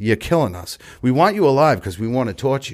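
A man with an American accent, an ordinary speaking voice, lively intonation and a moderate pace, in a very clean recording with a silent background. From Massachusetts, south of Boston. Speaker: recovering alcoholic sharing his story. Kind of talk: recovery testimony in casual podcast chat. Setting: recovery center.

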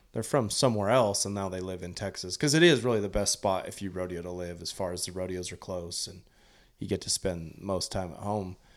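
A man with a very deep, low pitch and ordinary pitch variation at a fairly quick pace, in a very clean recording over a silent background. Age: 40s. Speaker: professional team roper. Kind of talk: casual interview.

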